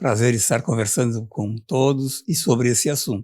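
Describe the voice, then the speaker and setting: A man speaks at a fairly slow pace, somewhat breathy. His medium pitch shows ordinary variation. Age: 70s. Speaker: retired university professor, union representative. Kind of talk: interview.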